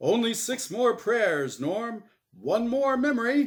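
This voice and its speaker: A man uses a put-on character voice, pitched extremely high and delivered at a fairly slow pace. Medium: read story. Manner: cheery game show patter.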